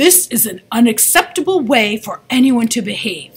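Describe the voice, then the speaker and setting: Loud and high-pitched, a woman performs a put-on character voice at a moderate pace. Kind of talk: reading aloud from a novel. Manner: booming, loud.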